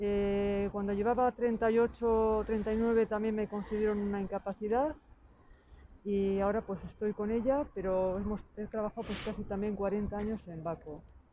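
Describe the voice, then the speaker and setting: Here is a woman with a plain, everyday voice at medium pitch. She keeps a fairly even intonation at a moderate pace. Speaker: retired factory worker. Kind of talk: testimony.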